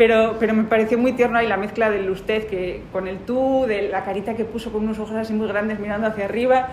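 Hardly pausing, a woman speaks very fast at a fairly high pitch in a monotone, flat intonation, with audible room echo and noticeable background noise. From Bilbao, Basque Country, Spain. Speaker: lawyer. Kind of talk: casual storytelling. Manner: halting, many repeated words.

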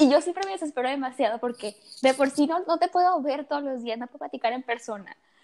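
The loudness swings widely and the pace is very fast. The intonation is lively. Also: woman, high pitch for a woman. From Tabasco, Mexico. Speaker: medical student, podcast co-host. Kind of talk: casual chat. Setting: at home in her room.

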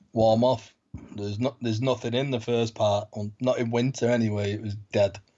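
In a Manchester accent, a man speaks at a moderate pace with a medium pitch and monotone, flat intonation. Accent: Mancunian, northern English. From Manchester, northern England. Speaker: pilgrim guest. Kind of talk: casual interview.

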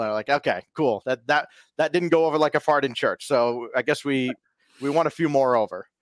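A man's unremarkable speaking voice, fairly high in pitch and fairly quick, with fairly even intonation on a very clean recording over a silent background. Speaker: sports announcer and esports caster. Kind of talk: casual interview chat.

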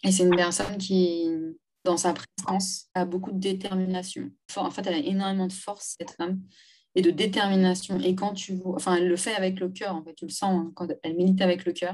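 At a fairly quick pace, the delivery stays in a monotone, flat intonation. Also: woman, medium pitch for a woman. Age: 30s. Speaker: domestic violence survivor and feminist activist. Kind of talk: testimony.

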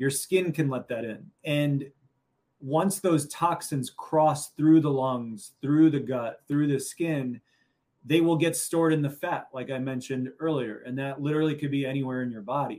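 A man with an American accent and a normal speaking voice talks at a moderate pace and fairly high pitch, with fairly even intonation. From US Midwest, Chicago. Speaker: functional medicine doctor. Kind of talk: interview.

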